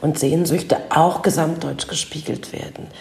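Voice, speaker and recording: There is noticeable background noise and audible room echo as a woman talks at a fairly low pitch. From eastern Germany, Leipzig. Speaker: author and journalist. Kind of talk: interview.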